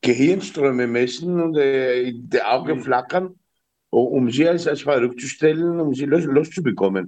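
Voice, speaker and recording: A man's fairly high voice in an Austrian accent, at a fairly slow pace with ordinary pitch variation. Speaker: innkeeper, caller. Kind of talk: call-in question. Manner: halting.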